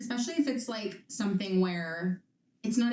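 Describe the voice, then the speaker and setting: At a moderate pace, a woman with an unremarkable speaking voice talks with ordinary pitch variation. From Canada. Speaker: podcast host. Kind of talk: podcast conversation. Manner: casual.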